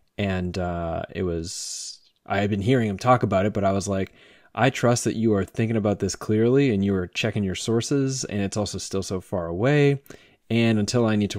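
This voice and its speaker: A man's fairly low, fairly quick voice with ordinary pitch variation, dry with no echo, over a quiet background. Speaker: podcast host. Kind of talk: casual conversation. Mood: calm, thoughtful. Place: home room. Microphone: studio mic.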